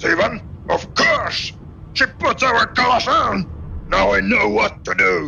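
Shouting in a put-on character voice, a man goes at a fairly slow pace over clear background noise. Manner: angry, shouting, crude.

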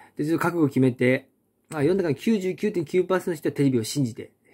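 In a quiet background, a man with a dark, mellow tone speaks fairly quickly, his intonation lively. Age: 30s. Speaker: unemployed video blogger; vlogger. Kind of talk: casual monologue. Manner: rambling, halting. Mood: frustrated, critical of TV. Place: home room. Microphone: phone near.

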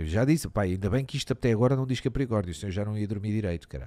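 A man talks very fast with lively intonation and a fairly low pitch. His tone is dark and mellow against a quiet background. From Portugal. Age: 30s. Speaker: streamer; live streamer. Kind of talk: casual live-stream commentary, reacting to and reading an article; casual stream commentary, reading aloud. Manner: animated, casual, with many fillers. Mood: joking, swearing, amused. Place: home room. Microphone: studio mic.

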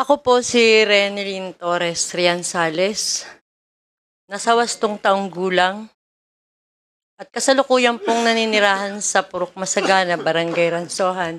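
Over light background noise, a woman talks at a fairly slow pace with ordinary pitch variation. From Philippines. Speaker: witness. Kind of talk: testimony. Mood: serious, recounting a raid. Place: hall. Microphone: podium.

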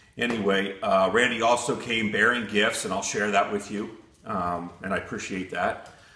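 Audible room echo surrounds a man's voice. He talks at a moderate pace with fairly low pitch. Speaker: hobby machinist channel host. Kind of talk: casual vlog chat. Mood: apologetic then warm. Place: workshop.

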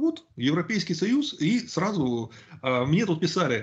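A man speaks with very wide pitch swings. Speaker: YouTube channel host. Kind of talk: casual discussion on politics. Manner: talkative, opinionated.

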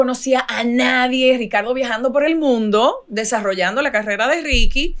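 At a moderate pace, a woman speaks in a high voice with a bright, sharp tone. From Dominican Republic, San Francisco de Macorís. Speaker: TV presenter. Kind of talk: interview.

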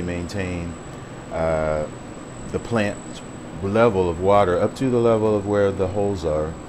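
Noticeable background noise sits behind a man whose voice has a very deep, low pitch. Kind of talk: casual vlog chat. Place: home room. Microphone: phone near.

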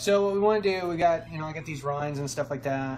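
Music plays behind a man talking at a very fast pace. His pitch varies in an ordinary way. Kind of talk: casual vlog chat. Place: kitchen. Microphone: phone near.

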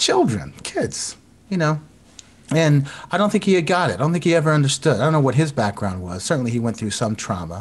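A man with an American accent and a fairly high pitch sounds somewhat breathy, with very wide pitch swings. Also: fairly quick pace. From US South, South Florida (Broward County). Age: 50s. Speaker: composer and violinist. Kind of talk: casual chat. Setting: video call.

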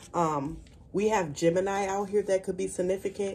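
A dark, mellow tone at a fairly quick pace, with fairly even intonation. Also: woman. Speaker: tarot card reader. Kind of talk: spiritual reading to viewers. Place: home room. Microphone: phone near.

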